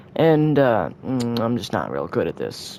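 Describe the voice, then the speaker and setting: A man talks at a moderate pace, his pitch varying in an ordinary way, with noticeable background noise in the recording. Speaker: gaming youtuber. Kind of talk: gameplay tutorial commentary. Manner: halting; casual, self-deprecating.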